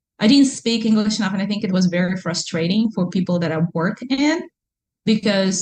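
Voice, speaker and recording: A somewhat breathy woman's voice at a moderate pace, with ordinary pitch variation. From Russia (Kazan, Tatarstan). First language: Russian. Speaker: entrepreneur and mother. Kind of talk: interview. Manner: animated.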